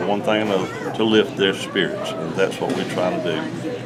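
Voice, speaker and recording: A man with a fairly low voice is heard with audible room echo and noticeable background noise. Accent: Southern US. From Georgia, US South. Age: 60s. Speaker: gospel singer. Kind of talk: casual chat. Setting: round table discussion.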